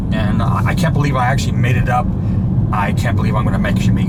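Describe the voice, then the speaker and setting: A man talks with an American accent. Audible room echo and noticeable background noise are present. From United States. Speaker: travel vlogger. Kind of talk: casual vlog monologue. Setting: in a car, driving. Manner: halting, many fillers.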